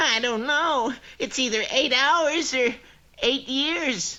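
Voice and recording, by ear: A cartoonish character voice speaks very slowly in a high pitch.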